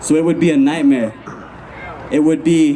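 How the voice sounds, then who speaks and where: A man's fairly high voice moves at a fairly quick pace with ordinary pitch variation, noticeable background noise behind it. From Lakota reservation, US Great Plains. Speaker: hip-hop artist and activist. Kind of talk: rally speech. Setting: outdoor rally. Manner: impassioned.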